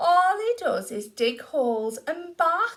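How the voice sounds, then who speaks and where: Using a put-on character voice, a woman speaks at an extremely high pitch with very wide pitch swings. Her pace is fairly slow. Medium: read story. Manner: whiny, complaining.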